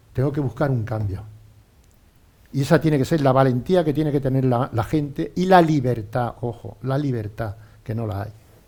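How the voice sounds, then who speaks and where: A man speaks at a moderate pace in a medium pitch, his tone dark and mellow and somewhat breathy, with ordinary pitch variation. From Spain, Albacete region (born Ontur). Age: 60s. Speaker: former pro cyclist and businessman. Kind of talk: casual interview chat. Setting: radio studio.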